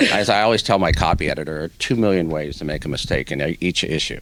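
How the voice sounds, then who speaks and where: The speaker rattles along at a very fast pace with vocal fry and ordinary pitch variation. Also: man. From Hawaii. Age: 60s. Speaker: newspaper editor. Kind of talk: interview.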